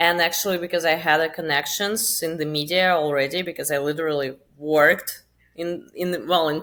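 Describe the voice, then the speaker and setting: With a Russian accent, a woman talks at a fairly quick pace. Her pitch is fairly low and her intonation fairly even. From Russia, Moscow. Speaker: crypto marketing founder. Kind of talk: podcast interview. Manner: casual, with fillers.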